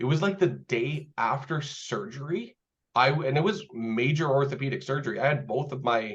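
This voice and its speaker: Speaking with a Canadian accent, a man with a fairly high pitch and vocal fry moves at a moderate pace with lively intonation. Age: 30s. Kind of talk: casual interview conversation.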